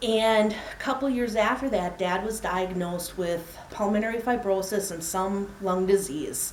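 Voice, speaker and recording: A woman with a medium pitch speaks at a fairly slow pace with hardly any pauses and ordinary pitch variation. Noticeable background noise is present. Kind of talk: personal storytelling speech.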